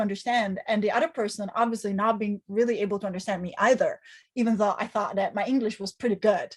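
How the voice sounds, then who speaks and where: In a very clean recording with a silent background, a woman speaks in a fairly high, somewhat breathy voice with ordinary pitch variation. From Italy. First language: Italian. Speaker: professor. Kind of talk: interview.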